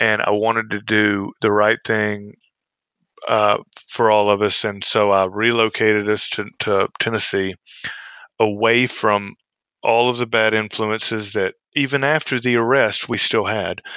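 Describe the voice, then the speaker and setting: A bright, sharp voice with a Southern US accent, monotone and flat, at a fairly slow pace, in a dry, close sound with no echo. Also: man, fairly low pitch for a man. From Mississippi. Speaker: former federal prison inmate. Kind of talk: interview. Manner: halting, frequent fillers and repeats.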